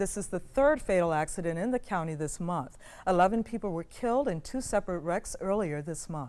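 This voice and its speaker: An unremarkable speaking voice, a woman talks at a moderate pace with lively intonation on a very clean recording with a silent background. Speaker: news anchor. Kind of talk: TV news anchor read.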